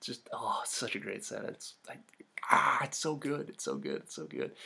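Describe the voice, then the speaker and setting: A man speaks quietly at a moderate pace over noticeable background noise. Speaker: gaming youtuber. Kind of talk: gameplay commentary. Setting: at home late at night. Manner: quiet, hushed.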